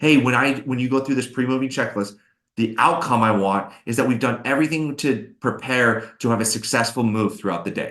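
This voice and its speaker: Talking at a fairly quick pace, a man with a medium pitch uses ordinary pitch variation. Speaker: SEO agency webinar host. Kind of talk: webinar Q&A. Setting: live webinar. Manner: fast; animated.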